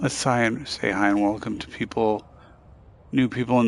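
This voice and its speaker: With monotone, flat intonation, this man talks at a medium pitch. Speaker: gaming streamer. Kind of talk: let's play commentary.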